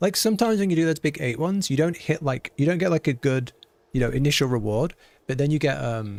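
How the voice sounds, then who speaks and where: A man with a British accent speaks fairly high and fairly quickly, with lively intonation. The recording is very clean, with a silent background. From Britain. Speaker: video game streamer. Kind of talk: live gameplay stream chat. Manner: animated.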